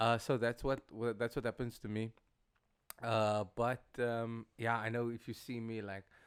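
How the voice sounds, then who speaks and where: Speaking at a fairly slow pace, a man has a medium pitch and monotone, flat intonation. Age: 20s. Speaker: singer. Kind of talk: casual chat. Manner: halting.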